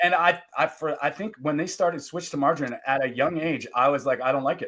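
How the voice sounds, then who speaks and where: Very fast delivery in a Canadian accent, with ordinary pitch variation and hardly any pauses. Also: man. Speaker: podcast host. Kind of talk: casual interview chat. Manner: halting, many restarts.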